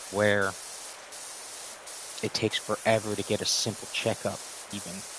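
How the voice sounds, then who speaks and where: A man with an American accent speaks at a moderate pace in a fairly low pitch. His intonation is monotone and flat. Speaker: live streamer. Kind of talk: casual livestream chat.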